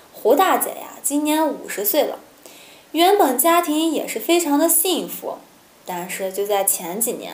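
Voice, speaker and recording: At a fairly slow pace, a woman talks in a high pitch with audible room echo around her. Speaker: storytelling vlogger. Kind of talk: story narration to camera. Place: home room.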